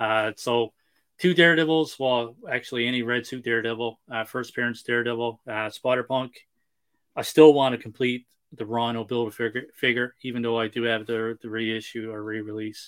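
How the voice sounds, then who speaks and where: His voice sits at a medium pitch. This man's intonation is fairly even. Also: moderate pace. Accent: Newfoundland. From Newfoundland, Canada. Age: 30s. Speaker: toy collector and YouTube reviewer. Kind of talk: casual chat.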